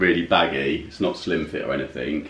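A man at a moderate pace, with audible echo from the room. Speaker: haul vlogger. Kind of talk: casual vlog chat. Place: home room.

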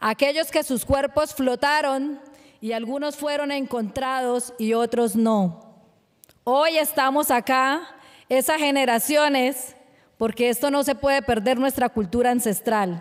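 At a fairly slow pace, a woman speaks in a high pitch with ordinary pitch variation against a quiet background. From Colombia, Barrancabermeja (Magdalena Medio); Colombia. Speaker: fisherwoman and human rights activist. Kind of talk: award acceptance speech. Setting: award ceremony. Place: stage. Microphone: podium.

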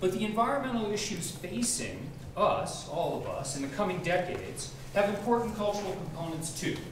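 Moderately paced speech from a man, with audible room echo and noticeable background noise. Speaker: program director host. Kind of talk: introductory speech. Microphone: camera far.

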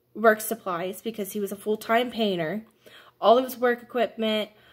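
A woman talks with ordinary pitch variation. The background is quiet. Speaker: vlogger telling a family story. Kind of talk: casual vlog chat. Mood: upset, indignant. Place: home room. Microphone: phone near.

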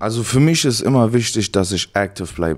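A man is speaking. The background is quiet. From Germany, Cologne; Germany. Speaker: college football player; guest. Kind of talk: casual interview. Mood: relaxed, reflective. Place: home room. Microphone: handheld.

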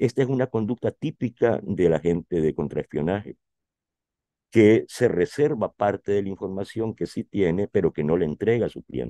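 A man with a fairly low pitch and a dark, mellow tone talks at a moderate pace in a dry, close sound with no echo. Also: lively intonation. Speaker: writer and journalist. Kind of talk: interview.

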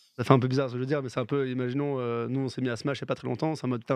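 Over a quiet background, a man talks at a very fast pace in a medium pitch. His intonation is monotone and flat, with a dry sound and no echo. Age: 30s. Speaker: esports streamer host; remote guest. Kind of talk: casual chat. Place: home room. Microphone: studio mic.

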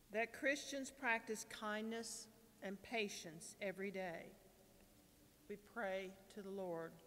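There are long, frequent pauses as a woman talks at a very slow pace with ordinary pitch variation. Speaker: lector and prayer reader. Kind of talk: scripture reading and intercessions, fervent prayer. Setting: church. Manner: earnest, slightly halting at times. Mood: calm, solemn. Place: church. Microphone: podium.

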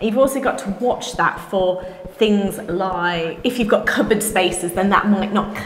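The voice moves at a moderate pace with ordinary pitch variation and audible room echo. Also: woman. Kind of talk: interview answer. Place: empty room. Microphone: camera far.

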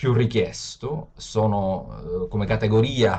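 Somewhat breathy, a man speaks at a fairly slow pace with a fairly low pitch. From Sicily, Palermo; Sicily. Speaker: open data expert; webinar presenter. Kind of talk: webinar lecture. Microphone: video call.

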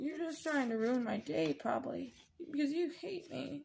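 The speaker puts on a whiny character voice with a whiny tone. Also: female-sounding voice, high pitch for a woman, moderate pace.

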